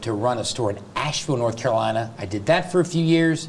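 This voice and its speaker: The speaker has an American accent and ordinary pitch variation, with noticeable background noise behind the voice. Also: man. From US South. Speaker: real estate agent and coach. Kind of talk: interview. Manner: fast.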